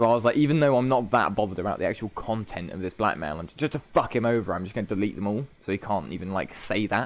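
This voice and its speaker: A man with a British accent talks at a medium pitch in an animated tone, with ordinary pitch variation. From Britain. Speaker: podcast host. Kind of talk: casual chat.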